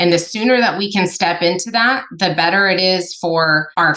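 A woman with a medium pitch talks at a moderate pace. Her tone is animated, with ordinary pitch variation. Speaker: business coach and consultant. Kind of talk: casual interview. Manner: loud, direct, animated.

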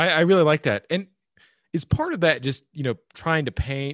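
This very clean recording has a silent background. In it a man talks with an American accent. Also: dry, close sound with no echo. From US, red state. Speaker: podcast host. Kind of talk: interview.

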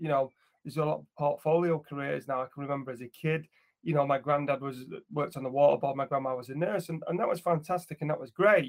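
This man talks at a very fast pace with fairly even intonation. His voice sits fairly high. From northern England, Glossop, High Peak. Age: 40s. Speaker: motivational speaker and coach. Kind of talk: casual chat.

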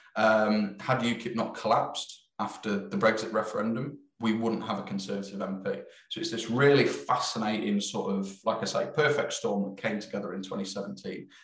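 Amid noticeable background noise, a man with a fairly low pitch speaks at a moderate pace with ordinary pitch variation. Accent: East Midlands. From East Midlands, England. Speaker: film director. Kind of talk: interview chat.

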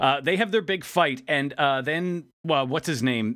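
A normal speaking voice from a man, lively in intonation and moderate in pace. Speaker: podcast host. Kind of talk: casual chat. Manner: joking.

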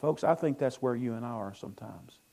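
Dark and mellow in tone, a man speaks at medium pitch. He talks at a fairly quick pace with a Southern US accent. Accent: US South. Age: 60s. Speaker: pastor. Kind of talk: sermon.

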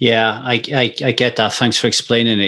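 Bright and sharp in tone, a man talks at a moderate pace with a medium pitch. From UK, England and Wales. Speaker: podcast host. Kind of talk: podcast interview; scripted intro. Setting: video call. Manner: animated.

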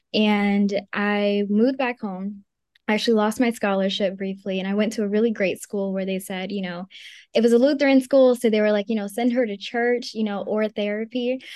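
With an American accent, a woman in an ordinary speaking voice talks at a fairly quick pace and fairly high pitch, her intonation fairly even over a quiet background. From Maryland. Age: 20s. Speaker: magazine founder. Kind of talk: interview. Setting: video call.

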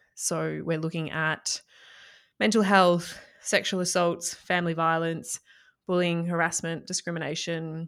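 A woman with an Australian accent speaks at a fairly slow pace in a fairly low pitch, on a very clean recording with a silent background. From Australia, country Victoria (Echuca). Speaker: mindset coach. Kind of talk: interview.

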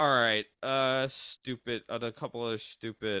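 A man speaks at a medium pitch and a moderate pace, his tone bright and sharp, in a dry, close recording with no echo that is very clean over a silent background. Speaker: podcast host and musician. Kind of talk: casual chat.

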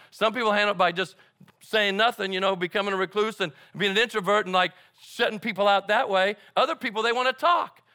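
A man's high, raised, projected voice with a bright, sharp tone, ordinary pitch variation and a very fast pace, dry and close with no echo. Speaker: guest preacher. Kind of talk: sermon. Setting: church.

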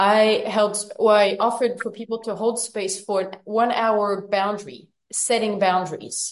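Speaking in a normal speaking voice, a woman talks at a fairly slow pace. Her pitch is fairly high. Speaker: study group co-facilitator. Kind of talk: online study group discussion. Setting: video call.

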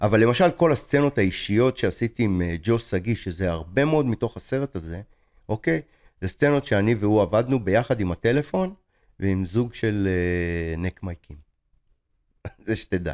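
Speaking at a moderate pace with long, frequent pauses, a man with a fairly low pitch and lively intonation comes through dry and close with no echo. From Israel. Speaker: film director and teacher. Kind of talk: interview.

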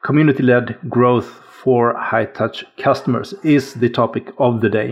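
The speaker has an unremarkable speaking voice and keeps a moderate pace. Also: man. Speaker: podcast co-host. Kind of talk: casual podcast conversation.

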